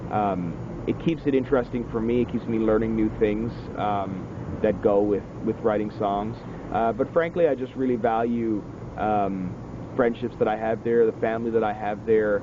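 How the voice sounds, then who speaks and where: Over noticeable background noise, the speaker keeps a moderate pace and fairly even intonation in an East Coast Canadian accent. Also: man, medium pitch for a man. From Atlantic Canada (Newfoundland). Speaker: singer-songwriter. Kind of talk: interview. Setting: outdoors. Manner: hesitant, many fillers.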